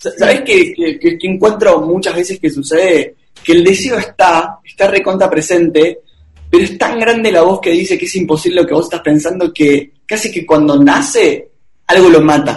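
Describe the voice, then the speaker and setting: This man's voice sits high in pitch, with ordinary pitch variation. He talks at a moderate pace. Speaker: speaker and coach. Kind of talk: interview. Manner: talkative.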